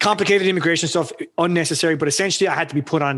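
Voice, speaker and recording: A man speaks with an Irish accent. His pitch is high. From Ireland. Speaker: freelancer, former engineer. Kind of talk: podcast interview. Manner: halting.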